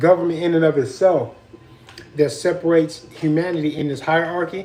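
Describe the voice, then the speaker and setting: Loud and high-pitched for a man, he talks at a fairly quick pace with fairly even intonation over noticeable background noise. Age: 40s. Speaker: vlogger. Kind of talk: casual chat.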